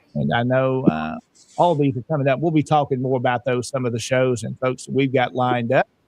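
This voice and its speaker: A man talks at a fairly quick pace, medium in pitch, with a Southern US accent. His pitch varies in an ordinary way, and the sound is dry and close with no echo. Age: 40s. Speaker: online show host. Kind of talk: casual panel talk show.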